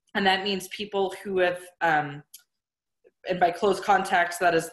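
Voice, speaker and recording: A woman talks in a normal speaking voice, fairly low in pitch, at a fairly slow pace. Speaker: public health official. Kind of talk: webinar presentation. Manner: many filler words.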